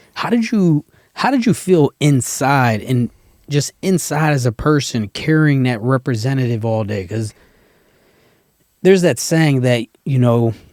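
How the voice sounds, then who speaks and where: A man speaks in a plain, everyday voice at a medium pitch. His pace is fairly slow, and the sound is dry and close with no echo. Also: lively intonation. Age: 40s. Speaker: podcast host and army veteran. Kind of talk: podcast interview. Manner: casual.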